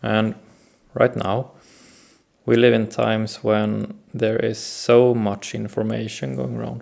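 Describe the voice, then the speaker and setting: A man talks at a very slow pace with a Swedish accent. His speech is broken by long, frequent pauses. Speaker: self-help video host. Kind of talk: reflective talk to camera. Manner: hesitant, many fillers.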